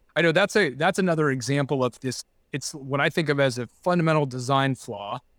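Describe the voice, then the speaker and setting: A man with a Californian accent talks at a fairly quick pace with ordinary pitch variation, in a very clean recording with a silent background and a dry, close sound with no echo. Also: fairly high pitch for a man. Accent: Californian American. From Southern California, Laguna Beach. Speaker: environmental nonprofit leader. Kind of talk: interview.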